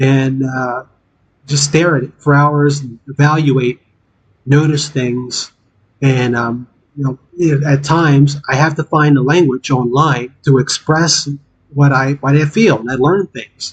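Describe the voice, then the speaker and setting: Somewhat breathy, a man talks with a fairly high pitch. His pace is fairly slow and his intonation fairly even. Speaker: gaming streamer. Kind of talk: casual live stream chat. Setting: live stream with game audio. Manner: halting, many fillers.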